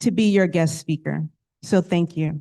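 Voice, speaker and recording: A woman with an American accent talks using ordinary pitch variation. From United States. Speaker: company executive and guest speaker. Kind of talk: keynote speech. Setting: stage with audience.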